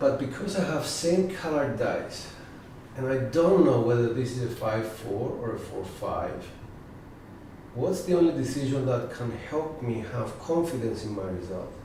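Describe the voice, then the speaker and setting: A man with a medium pitch amid noticeable background noise and audible room echo. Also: lively intonation. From Cyprus. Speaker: dice coach. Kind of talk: live tutorial. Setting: live stream. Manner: slow.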